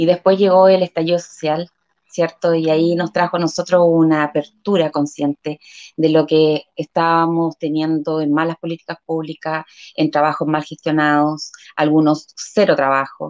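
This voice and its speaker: A woman talks at a moderate pace in a monotone, flat intonation. The sound is dry and close with no echo, over a quiet background. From Chile, Concepción. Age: 40s. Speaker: local council candidate, community leader. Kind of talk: interview. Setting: live stream.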